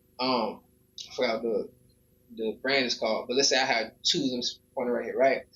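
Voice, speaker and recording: A man with an American accent at a fairly quick pace, with long, frequent pauses. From Miami, Florida. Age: 30s. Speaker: rapper. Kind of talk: livestream casual chat. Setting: home studio. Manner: halting.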